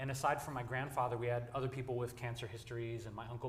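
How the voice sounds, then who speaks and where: A medium-pitched man with an American accent, talking very fast in a flat monotone, with audible room echo. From US Midwest, Detroit, Michigan. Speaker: vegan advocate. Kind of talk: panel discussion. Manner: casual.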